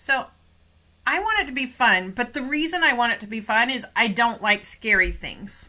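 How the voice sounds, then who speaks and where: A woman speaks at a fairly slow pace. Her voice is high-pitched with a bright, sharp tone. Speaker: English teacher. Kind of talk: live online class. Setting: livestream.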